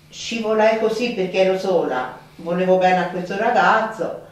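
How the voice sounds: The voice shows ordinary pitch variation. Strong room echo surrounds it. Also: woman, fairly low pitch for a woman, moderate pace.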